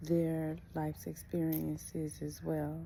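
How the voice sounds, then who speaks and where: A woman whispers quietly at a very slow pace. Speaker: vlogger. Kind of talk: casual personal vlog. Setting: at home. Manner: quiet, near whisper.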